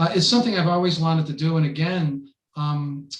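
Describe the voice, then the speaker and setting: A man with an American accent talks at a moderate pace with a high pitch and ordinary pitch variation. Audible room echo surrounds his voice. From US, Buffalo, New York. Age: 70s. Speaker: poet. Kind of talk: casual interview.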